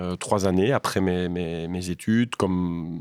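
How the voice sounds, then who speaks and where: The sound is dry and close, with no echo. The recording is very clean, and the background is silent. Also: man. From Belgium, Liège province (Waremme). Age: 40s. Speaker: civil engineer and bridge project director. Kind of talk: interview. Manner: hesitant, frequent repetitions.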